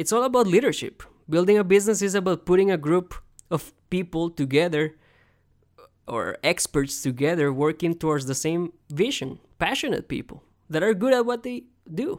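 With a strong Costa Rican accent, the speaker talks at a moderate pace on a very clean recording with a silent background. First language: Spanish. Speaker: podcast host. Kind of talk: solo talk on career advice. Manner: conversational, with fillers.

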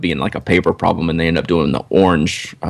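A man speaks with a Southern US accent. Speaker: podcast co-host. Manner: conversational, relaxed.

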